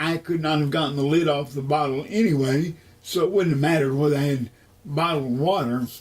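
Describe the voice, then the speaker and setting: The voice is somewhat breathy, with an American accent. Its intonation is fairly even. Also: man. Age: 60s. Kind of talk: interview testimony. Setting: at home.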